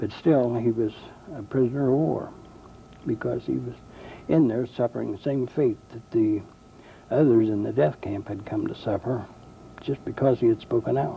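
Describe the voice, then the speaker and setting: A man with a medium pitch and a dark, mellow, somewhat breathy tone talks at a moderate pace with ordinary pitch variation and long, frequent pauses. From US Midwest, eastern Indiana. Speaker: war veteran. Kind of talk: testimony. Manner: halting.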